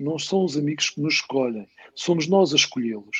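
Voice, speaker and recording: A man speaks at a moderate pace with a fairly high pitch. He has a normal speaking voice. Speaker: football commentator. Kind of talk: casual chat.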